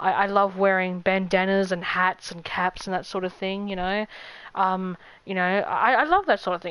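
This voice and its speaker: At a fairly quick pace, a woman speaks with medium pitch. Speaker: video game streamer. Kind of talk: casual chat. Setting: live stream. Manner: halting.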